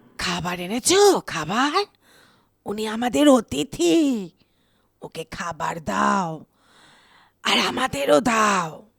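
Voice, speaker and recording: A put-on character voice, raspy and middle in pitch, at a very slow pace. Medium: audio drama. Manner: eerie, insinuating.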